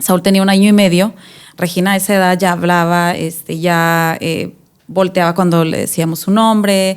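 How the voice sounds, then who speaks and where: Against a silent background in a very clean recording, a woman speaks slowly in a fairly low voice with monotone, flat intonation. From Mexico, Tijuana. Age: 30s. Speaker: mother sharing testimony. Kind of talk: interview testimony. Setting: studio.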